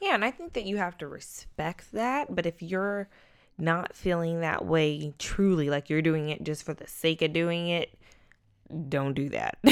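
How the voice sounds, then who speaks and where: A woman with a plain, everyday voice speaks fairly slowly in a fairly low pitch, with ordinary pitch variation. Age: 20s. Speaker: podcast co-host. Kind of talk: casual chat.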